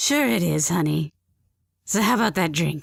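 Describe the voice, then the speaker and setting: A woman's raspy put-on character voice, fairly low-pitched, at a moderate pace. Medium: audio drama. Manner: flamboyant, gossipy.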